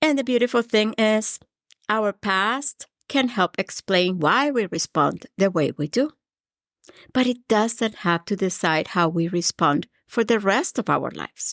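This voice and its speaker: Speaking with a Colombian accent, a woman uses a fairly high pitch, lively intonation and a fairly slow pace. The sound is dry and close with no echo, on a very clean recording with a silent background. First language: Spanish. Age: 50s. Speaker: podcast host, mindset coach. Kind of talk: motivational podcast monologue. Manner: warm, earnest.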